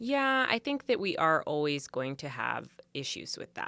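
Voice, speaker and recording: On a very clean recording with a silent background, a woman with a Canadian accent speaks at a fairly slow pace. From Canada, Vancouver Island. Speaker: pageant contestant and boudoir photographer. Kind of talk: podcast interview.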